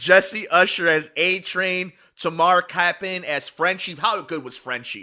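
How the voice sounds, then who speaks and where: A man's animated, bright, sharp voice, high in pitch with ordinary pitch variation, big swings in loudness and a fairly slow pace. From US Midwest. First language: not English. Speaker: podcast co-host. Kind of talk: casual chat.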